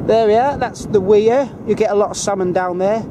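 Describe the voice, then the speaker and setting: With a Northern English accent and a high pitch, a man talks at a moderate pace with ordinary pitch variation against noticeable background noise. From northern England, Kendal, Cumbria. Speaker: travel vlogger. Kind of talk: casual guided tour. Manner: hesitant, many fillers.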